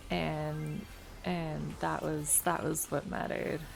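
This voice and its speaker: A soft-spoken woman speaks at a very slow pace, with audible room echo around her. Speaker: video game streamer. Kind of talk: casual chat. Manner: vocally unemotive, mellow.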